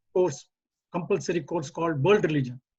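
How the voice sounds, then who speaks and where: A man's voice sits high in pitch and moves with ordinary pitch variation. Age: 80s+. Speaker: retired engineer and community volunteer. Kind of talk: community talk. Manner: halting.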